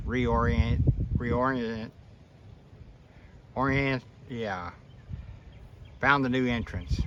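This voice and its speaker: Speaking at a very slow pace, a man uses a medium pitch and ordinary pitch variation. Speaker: hobby beekeeper. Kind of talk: casual video commentary. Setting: outdoors. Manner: occasional stutter. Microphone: phone camera recording.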